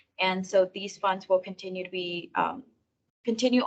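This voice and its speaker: A woman speaks at a fairly quick pace. Her voice sits at medium pitch with fairly even intonation. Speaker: water district staff member presenting updates. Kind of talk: committee meeting report. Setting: public committee meeting. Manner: fast.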